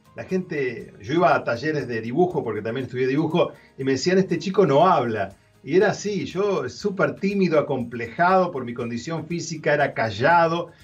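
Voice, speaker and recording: Faint music plays in the background as a man with a fairly high pitch talks at a moderate pace with lively intonation. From Argentina. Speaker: radio host and singer. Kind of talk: interview answer. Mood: warm, expressive personal testimony. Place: home room. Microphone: webcam.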